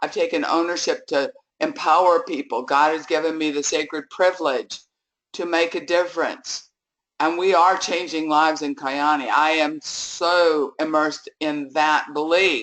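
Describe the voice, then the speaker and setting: Her pitch very deep and low, a woman speaks at a moderate pace with fairly even intonation. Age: 70s. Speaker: network marketing leader. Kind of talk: motivational talk. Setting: conference call.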